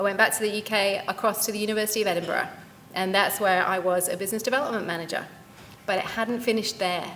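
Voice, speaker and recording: The woman talks at a very fast pace. Her pitch is medium, and her intonation fairly even. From UK. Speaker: company founder and CEO, career speaker. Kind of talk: career talk at event.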